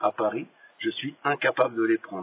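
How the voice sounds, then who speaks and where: A man's fairly quick speech has fairly even intonation, with noticeable background noise in the recording. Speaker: former prisoner. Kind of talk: voice message. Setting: phone voice message. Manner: halting. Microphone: poor audio quality.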